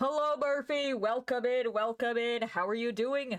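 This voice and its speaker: Using a put-on character voice, a woman speaks at a moderate pace with a high, nasal pitch and very even loudness. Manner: putting on a voice.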